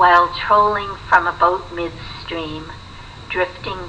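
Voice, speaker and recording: Noticeable background noise runs beneath a woman speaking at a very slow pace. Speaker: poet reading her own poetry collection. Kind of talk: poetry reading.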